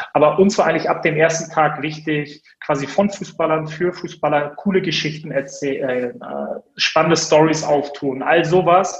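A man's fairly high voice at a moderate pace with fairly even intonation, over noticeable background noise. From Hamburg, northern Germany. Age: 30s. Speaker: media entrepreneur. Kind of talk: interview. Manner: many filler sounds (äh, ähm).

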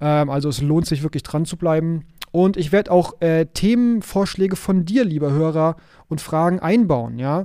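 Here a man speaks at a moderate pace in a fairly high voice with a dark, mellow tone and ordinary pitch variation. The recording is very clean, with a silent background. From Hamburg, northern Germany. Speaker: podcast host, IT consultant. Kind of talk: solo podcast monologue.

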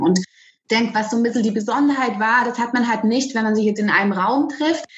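At a fairly quick pace, a woman talks in a normal speaking voice. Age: 40s. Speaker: music educator. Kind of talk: interview.

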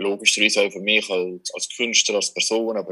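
A man at a fairly quick pace. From Switzerland, Valais. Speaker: magician. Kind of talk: casual interview. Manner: halting, many fillers.

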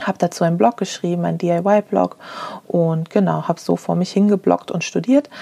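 The speech comes at a moderate pace with a dry, close sound with no echo, though noticeable background noise is present. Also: woman. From Germany, Frankfurt. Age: 30s. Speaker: podcast host and business owner. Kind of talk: solo podcast monologue.

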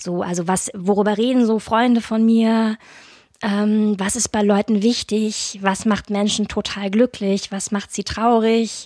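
Speaking at a fairly slow pace, a woman keeps her intonation monotone and flat. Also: fairly high pitch for a woman. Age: 30s. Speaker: podcast host. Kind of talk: casual chat.

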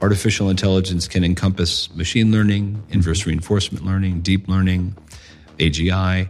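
Music plays in the background as a speaker with an American accent talks at a fairly quick pace in a monotone, flat intonation. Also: man, very deep, low pitch for a man. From United States. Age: 50s. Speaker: ethics of technology advocate. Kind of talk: casual conversation. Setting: in-person in a library-like room.

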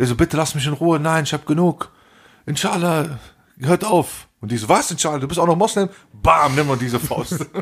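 Here a man talks at a moderate pace with a fairly high pitch and ordinary pitch variation. His tone is animated and somewhat breathy. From Germany. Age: 40s. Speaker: podcast co-host. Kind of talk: casual chat.

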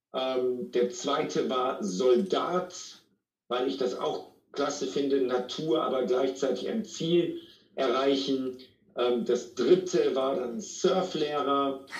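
This man has a fairly high pitch and ordinary pitch variation. He speaks at a very slow pace, with audible room echo. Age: 40s. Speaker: sales trainer and speaker. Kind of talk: interview.

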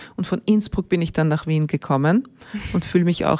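A woman's voice sits at a fairly low pitch with a dark, mellow tone. She speaks at a fairly quick pace. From Austria, Ennstal (Styria). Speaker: rail company executive. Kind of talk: interview.

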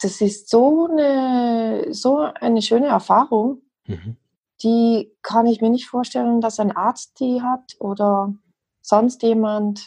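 A woman speaks very slowly in a fairly high voice with a dark, mellow tone and a slight South Tyrolean accent. Her pitch varies in an ordinary way. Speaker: homeopath. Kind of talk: interview.

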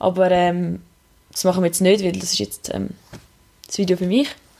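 A woman speaks at a fairly quick pace. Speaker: podcast host. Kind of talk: casual chat.

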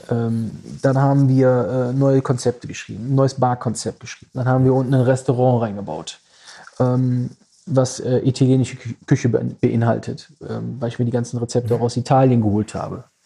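A man talks at a fairly quick pace in a medium pitch, with a dark, mellow, somewhat breathy tone and monotone, flat intonation. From Düsseldorf, Germany. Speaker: club manager and event promoter. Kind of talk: casual interview chat. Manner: hesitant with many fillers.

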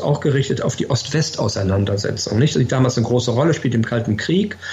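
A man's normal speaking voice, medium in pitch, with lively intonation. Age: 60s. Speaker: former ambassador. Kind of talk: interview.

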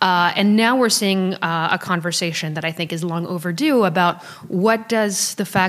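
With an American accent and an ordinary speaking voice, someone speaks at a moderate pace with ordinary pitch variation. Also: woman. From Paris, France, then US from high school. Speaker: human rights researcher. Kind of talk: interview. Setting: in person, Berlin.

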